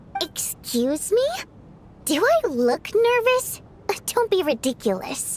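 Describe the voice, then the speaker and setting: A woman's put-on character voice at an extremely high pitch with very wide pitch swings, fairly slow with long, frequent pauses, over clear background noise. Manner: indignant, denying.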